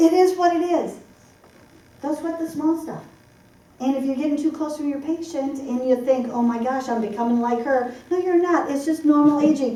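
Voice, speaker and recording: An animated woman with an American accent, high in pitch with ordinary pitch variation and a moderate pace, with audible room echo and noticeable background noise. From US Midwest, Michigan (Detroit area). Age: 60s. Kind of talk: seminar talk.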